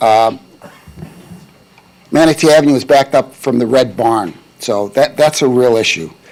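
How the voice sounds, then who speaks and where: A man's voice over noticeable background noise. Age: 70s. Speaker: public commenter at county meeting. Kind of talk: public comment.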